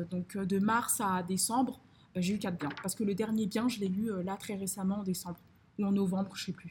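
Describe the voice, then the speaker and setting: A woman's fairly slow, fairly even delivery at a medium pitch. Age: 20s. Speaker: finance consultant and property investor. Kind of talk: casual interview. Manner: halting, many fillers and repetitions.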